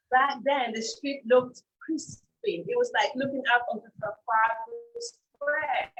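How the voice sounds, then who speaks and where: With music in the background, a woman speaks at a high pitch and a fairly slow pace, her tone animated and her intonation lively. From Nigeria, Lagos (born in South London). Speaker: fashion designer. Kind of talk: casual interview. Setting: livestream.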